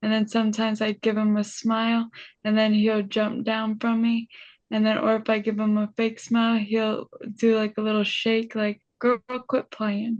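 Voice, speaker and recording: A woman's fairly high, somewhat breathy voice at a moderate pace, monotone and flat, with a dry, close sound, no echo and a quiet background. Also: very even loudness. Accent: American. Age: 30s. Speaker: brain injury survivor and motivational speaker. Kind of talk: interview. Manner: halting.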